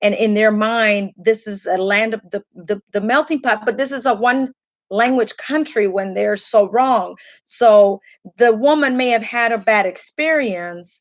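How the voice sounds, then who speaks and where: Speaking at a moderate pace with a Spanish accent, a woman uses a fairly high pitch and ordinary pitch variation. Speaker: radio co-host. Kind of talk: talk radio discussion.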